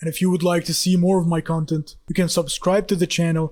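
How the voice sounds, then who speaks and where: Speaking with a non-native accent, a man uses a high pitch and a monotone, flat intonation. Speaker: wrestling YouTuber. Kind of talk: scripted video commentary.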